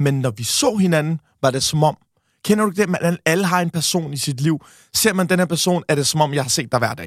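In a very clean recording with a silent background and a dry, close sound with no echo, a man uses a normal speaking voice at a fairly high pitch, with ordinary pitch variation and a moderate pace. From Denmark. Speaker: podcaster. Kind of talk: casual interview.

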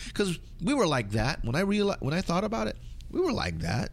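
With an American accent, a man speaks at a medium pitch and a fairly quick pace. There is noticeable background noise. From Southern California, Filipino American. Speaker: hip-hop DJ. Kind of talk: interview.

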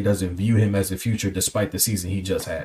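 A somewhat breathy male voice with a fairly low pitch. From Cleveland, Ohio. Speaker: podcast host. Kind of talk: casual chat.

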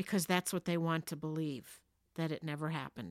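A woman with an American accent, fairly low pitch and fairly even intonation, in a very clean, dry, close recording with no echo and a silent background. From New Jersey. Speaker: podcast host's mother. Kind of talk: casual chat. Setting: home basement.

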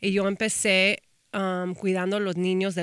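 This very clean recording has a silent background. A woman with an ordinary speaking voice and medium pitch talks at a moderate pace. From Texas, Austin. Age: 30s. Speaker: talent manager and influencer. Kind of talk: casual interview.

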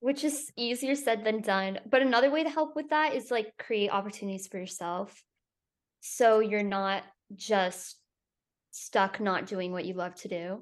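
In an unremarkable speaking voice, a woman talks at a fairly slow pace with fairly high pitch and lively intonation over a quiet background. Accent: American. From Florida, Tampa. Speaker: actor. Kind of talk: interview.

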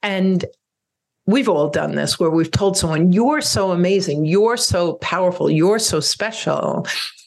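Vocal fry colors this woman's fairly low voice as she talks at a fairly slow pace with ordinary pitch variation. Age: 60s. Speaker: divorce coach and podcast host. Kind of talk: solo podcast monologue.

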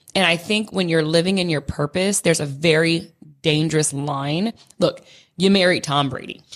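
A woman with a Californian accent talks at a moderate pace, her fairly low voice keeping a fairly even intonation. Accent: Californian American. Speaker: podcast co-host. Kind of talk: casual chat.

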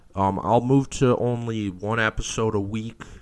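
At a fairly slow pace, a man with a medium pitch speaks in a normal speaking voice with ordinary pitch variation. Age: 20s. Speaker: college football podcast host. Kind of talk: solo sports podcast commentary. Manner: frequent fillers (um, uh).

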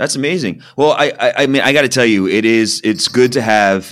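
Moderately paced male speech on a very clean recording, the background silent. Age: 40s. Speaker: podcast co-host. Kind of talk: casual chat. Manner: halting.

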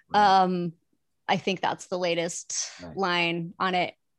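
A woman with an American accent talks at a moderate pace in a medium pitch, a plain, everyday voice. The sound is dry and close with no echo, over a quiet background. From US Midwest. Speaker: TV development executive and comedy producer. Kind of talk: casual chat.

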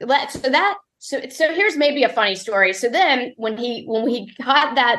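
A woman speaks with a slight Southern accent. The background is quiet. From US South (born Mississippi). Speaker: barbecue recipe developer. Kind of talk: interview.

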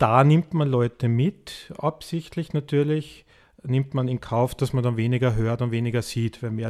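A man speaks at a medium pitch and a moderate pace, with ordinary pitch variation, on a very clean recording with a silent background. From Tyrol, Austria. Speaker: birdwatcher and conservationist. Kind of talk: interview.

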